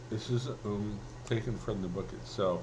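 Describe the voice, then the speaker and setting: Audible room echo surrounds a man speaking at a fairly slow pace. His pitch is fairly low, with vocal fry. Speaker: vlogger and self-published writer. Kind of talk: casual vlog monologue. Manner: halting, many fillers.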